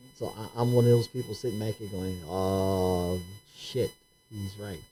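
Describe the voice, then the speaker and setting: Over music in the background, a man talks at a fairly slow pace in a fairly low pitch, his intonation fairly even but his loudness swinging widely. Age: 60s. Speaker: podcast host. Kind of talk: casual discussion.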